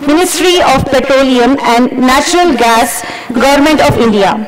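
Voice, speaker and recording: Loud background noise surrounds a woman who talks fairly slowly. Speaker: event host. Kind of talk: formal speech. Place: stage. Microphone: podium.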